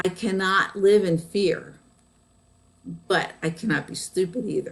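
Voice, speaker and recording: Speaking at a fairly slow pace, a woman keeps a medium pitch and fairly even intonation. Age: 60s. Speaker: tarot card reader. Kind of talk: live-stream tarot reading. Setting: live stream from home.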